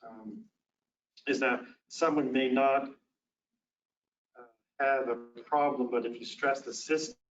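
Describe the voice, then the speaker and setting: Pausing long and often, a man with a medium pitch speaks at a moderate pace with fairly even intonation and big swings in loudness, with audible room echo. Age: 60s. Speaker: physician and lecturer. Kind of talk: lecture. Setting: conference presentation with slides.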